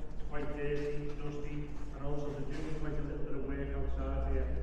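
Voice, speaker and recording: Strong room echo hangs over a man's voice. Noticeable background noise is also present. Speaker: tunnel tour guide. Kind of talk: guided tour explanation. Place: tunnel cave. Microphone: camera far.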